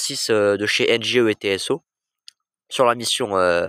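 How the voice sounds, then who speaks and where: A man's bright, sharp tone comes through with fairly even intonation in a very clean recording with a silent background, dry and close with no echo. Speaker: train-spotting YouTuber. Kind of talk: casual vlog monologue. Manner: hesitant with many fillers; quiet.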